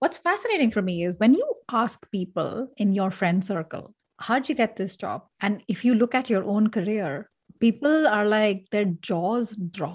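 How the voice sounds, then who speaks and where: The lively intonation rises and falls at a fairly slow pace in a somewhat breathy voice. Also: woman, fairly high pitch for a woman. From India, Delhi. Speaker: leadership coach. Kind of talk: interview conversation.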